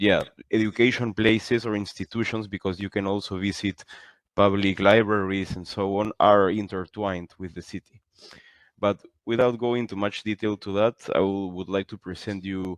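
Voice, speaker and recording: Through a dry, close sound with no echo, a man speaks at a moderate pace and fairly low pitch, in a monotone, flat intonation with big swings in loudness. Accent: Spanish. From Peru. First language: Spanish. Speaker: university lecturer. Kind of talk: online information session presentation.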